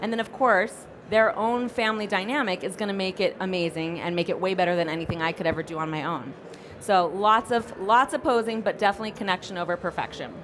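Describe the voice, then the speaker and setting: The speech moves at a very fast pace. There is noticeable background noise. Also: woman, medium pitch for a woman, ordinary pitch variation. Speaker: family photographer and educator. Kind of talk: conference talk. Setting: stage with audience.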